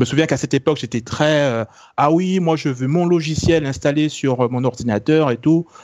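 A man speaks in a plain, everyday voice with ordinary pitch variation. He goes at a moderate pace against a quiet background. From France. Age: 30s. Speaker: tech podcast co-founder. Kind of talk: casual chat.

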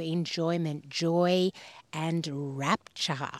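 A woman with an Australian accent speaks at a fairly low pitch with ordinary pitch variation. The sound is dry and close, with no echo. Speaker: podcast host. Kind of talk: casual chat about faith. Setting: outdoors by a river.

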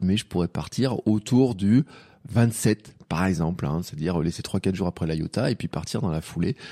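Dark, mellow tone at a moderate pace, lively intonation, and a dry, close sound with no echo against a quiet background. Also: man, very deep, low pitch for a man. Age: 40s. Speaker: podcaster, amateur cyclist. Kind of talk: solo podcast monologue. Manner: casual, hesitant with fillers.

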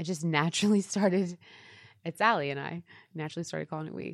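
This woman's pitch is very deep and low. She talks with an American accent. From East Texas, US. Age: 30s. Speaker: fashion blogger and influencer, former nurse. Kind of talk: casual interview. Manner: hesitant, many fillers.

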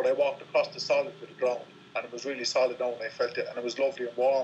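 Amid noticeable background noise, a man with an Irish accent speaks at a very fast pace. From Ireland. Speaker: ultra-distance cyclist. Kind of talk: interview. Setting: phone call. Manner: halting.

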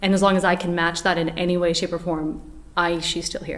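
A woman with a fairly low voice speaks at a fairly quick pace in a monotone, flat intonation. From Portugal. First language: Portuguese. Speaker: actress. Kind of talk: interview. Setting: studio.

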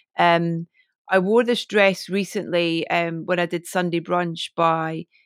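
A woman at a fairly slow pace, dry and close with no echo, on a very clean recording with a silent background. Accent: Scottish. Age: 40s. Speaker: DJ and broadcaster. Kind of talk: casual interview chat.

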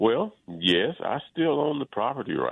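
A man with a Mississippi accent speaks at a fairly slow pace. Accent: Mississippi Southern. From Mississippi Delta, US South. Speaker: son of a civil rights activist. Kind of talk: radio interview.

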